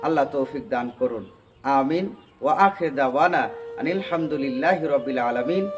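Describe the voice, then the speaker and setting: Lively intonation from a man with a fairly high pitch, music in the background. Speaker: Islamic preacher. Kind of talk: Islamic sermon / motivational speech.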